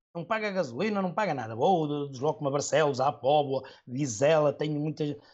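With a normal speaking voice, a man talks at a fairly high pitch and moderate pace with lively intonation. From northern Portugal, Trofa area. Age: 40s. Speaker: football superfan and firefighter. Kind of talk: casual interview chat.

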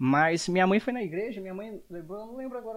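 A man is speaking. His pace is fairly quick. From Brazil, Espírito Santo (Jaguaré). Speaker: podcast host. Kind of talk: casual chat.

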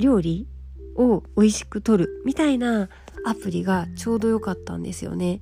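A woman at a moderate pace, with noticeable background noise. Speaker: beauty writer, podcast host. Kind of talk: casual solo talk. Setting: lying on futon while recording. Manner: relaxed, calm when lying down.

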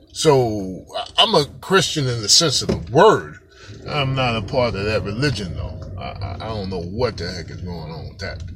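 Music plays in the background, and audible echo fills the room. The speech is animated, with lively intonation at a moderate pace. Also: man, fairly low pitch for a man. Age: 50s. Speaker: podcast host. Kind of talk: casual monologue.

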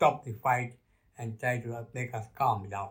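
At a fairly slow pace, a man talks in a somewhat breathy voice with fairly even intonation. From Kenya. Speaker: grandfather sharing life story, retired bank worker. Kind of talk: interview, life story. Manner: halting.

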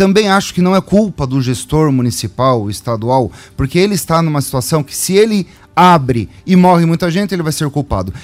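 With an ordinary speaking voice, a man talks at a fairly quick pace, his pitch fairly high and his intonation lively. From Cascavel, Paraná, Brazil. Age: 40s. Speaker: mayoral pre-candidate. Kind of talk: radio interview.

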